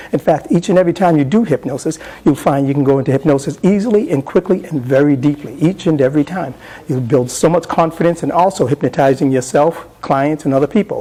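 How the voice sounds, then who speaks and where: Noticeable background noise accompanies a man talking at a very fast pace with a fairly high pitch and ordinary pitch variation. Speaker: hypnotist presenter. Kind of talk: live hypnosis induction demonstration; workshop lecture explaining technique. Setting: convention stage with live audience.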